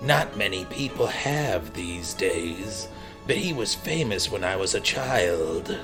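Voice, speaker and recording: A man performs a put-on character voice. Clear music plays behind him. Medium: fan dub. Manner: grumbling, rambling.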